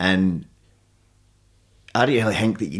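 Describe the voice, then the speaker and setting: On a very clean recording with a silent background, a man in a Central Belt Scottish accent speaks with ordinary pitch variation. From Scotland, Alloa (Clackmannanshire). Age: 30s. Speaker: MMA fighter and jiu-jitsu coach. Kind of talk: casual interview chat.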